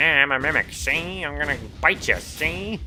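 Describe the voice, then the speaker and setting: Clear music plays in the background. A put-on character voice speaks at a moderate pace. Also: man, fairly high pitch for a man. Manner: playful, growly.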